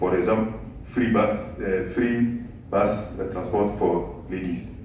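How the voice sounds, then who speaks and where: Over noticeable background noise and audible room echo, a man talks at a very slow pace, his fairly low pitch held in fairly even intonation. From Togo, West Africa. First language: French. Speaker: physics professor. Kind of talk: lecture. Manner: halting, many fillers.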